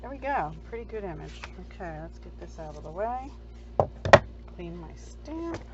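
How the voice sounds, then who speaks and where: A woman at a moderate pace, with long, frequent pauses, audible room echo and noticeable background noise. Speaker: card-making crafter. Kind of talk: crafting tutorial. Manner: soft-spoken; casual.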